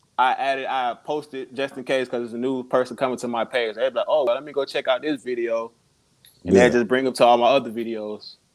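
The man talks at a very fast pace. His pitch is medium, and his intonation fairly even. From Chicago. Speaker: rapper. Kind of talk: casual interview chat.

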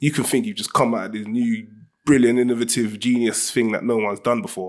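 Recorded very cleanly against a silent background, a man with a South London accent speaks at medium pitch and a fairly quick pace, with ordinary pitch variation. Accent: South London multicultural London English. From South London (Ghanaian-British). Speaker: film director and writer. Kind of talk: casual interview chat. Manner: animated.

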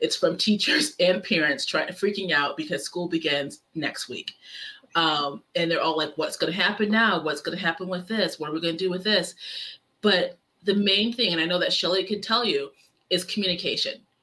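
Ordinary pitch variation within a normal speaking voice. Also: woman, medium pitch for a woman, moderate pace. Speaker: special education teacher and coach. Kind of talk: podcast interview.

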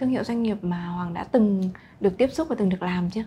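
Somewhat breathy, a woman speaks at a medium pitch with a dark, mellow tone. Her intonation is lively. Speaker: podcast co-host. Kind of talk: interview conversation.

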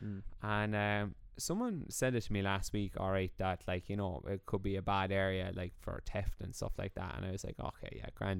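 A man with an Irish accent, fairly low in pitch, at a fairly quick pace. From Ireland. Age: 20s. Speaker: podcast co-host. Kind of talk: casual chat.

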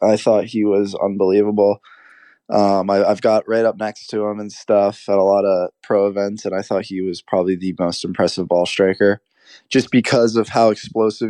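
Against a quiet background, a man with a dark, mellow tone and a fairly low pitch talks at a fairly quick pace with fairly even intonation, the sound dry and close with no echo. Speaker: college golfer and golf content creator. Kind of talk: casual interview.

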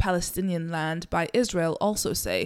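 A woman's ordinary speaking voice, fairly low in pitch, at a moderate pace, in a very clean recording with a silent background. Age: 30s. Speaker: solo podcast host. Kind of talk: solo monologue commentary. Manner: conversational with fillers.

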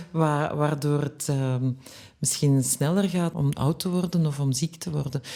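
At a fairly slow pace, a woman speaks with a very deep, low pitch, a dark, mellow tone and fairly even intonation. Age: 50s. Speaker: journalist and author. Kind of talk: podcast interview.

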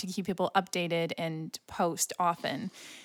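An unremarkable speaking voice from a woman, fairly low in pitch with fairly even intonation, comes through a dry, close sound with no echo on a very clean recording with a silent background. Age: 20s. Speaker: podcast co-host. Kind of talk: casual chat.

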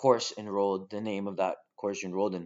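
A man with a Canadian accent and a fairly low-pitched voice. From Argentina. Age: 20s. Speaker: podcast host, social worker. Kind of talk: solo podcast monologue. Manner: casual, with many filler words.

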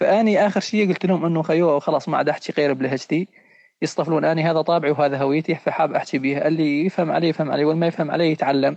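A man speaks at a very fast pace and a fairly high pitch. His loudness stays very even, and his intonation is fairly even. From Syria, Raqqa. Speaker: podcast host. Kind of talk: casual chat.

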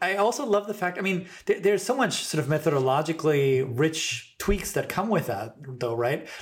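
A man's high-pitched voice at a moderate pace, with very wide pitch swings and hardly any pauses. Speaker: podcast host. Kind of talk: casual interview, chatty.

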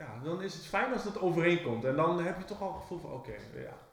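A man's high-pitched voice with lively intonation, audible room echo and noticeable background noise. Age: 40s. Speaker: business owner, podcast co-host. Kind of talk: casual chat. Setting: office. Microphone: cheap microphone.

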